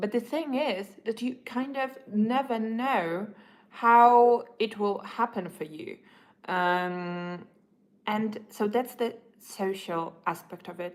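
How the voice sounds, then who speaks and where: A woman's voice with a non-native accent and ordinary pitch variation. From Europe. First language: not English. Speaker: livestreamer. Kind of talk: casual livestream monologue. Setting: livestream while having breakfast. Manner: halting.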